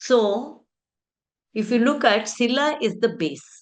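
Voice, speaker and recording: A woman with a Telugu accent and ordinary pitch variation. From India, Karnataka. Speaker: education speaker. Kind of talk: conference talk.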